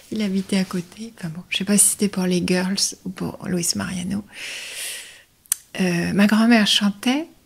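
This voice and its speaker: Whispering and somewhat breathy, a woman speaks at a fairly slow pace with long, frequent pauses. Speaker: voice-over artist. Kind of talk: interview. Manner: playful; hesitant.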